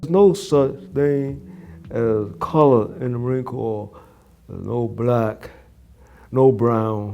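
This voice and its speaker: Over music in the background, a speaker with a New York accent talks at a very slow pace with long, frequent pauses, lively intonation and big swings in loudness. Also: man, medium pitch for a man. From Brooklyn, New York. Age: 90s. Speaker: war veteran. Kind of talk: interview answer.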